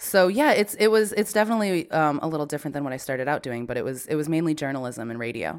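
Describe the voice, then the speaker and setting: Very fast and with a US Northeastern accent, a woman speaks at a very deep, low pitch that swings very widely. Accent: US Northeast. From US Northeast, Connecticut. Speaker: podcast producer. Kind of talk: interview conversation.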